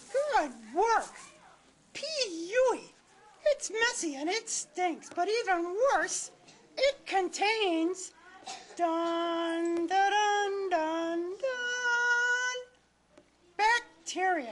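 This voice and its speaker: A cartoonish character voice comes in at an extremely high pitch. It moves at a very slow pace with long, frequent pauses. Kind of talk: children's puppet show. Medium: puppet show. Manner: playful, chatty.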